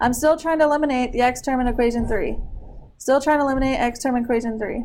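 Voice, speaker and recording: A woman's high-pitched voice at a very fast pace, with fairly even intonation and audible room echo. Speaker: math teacher. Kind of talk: classroom lesson.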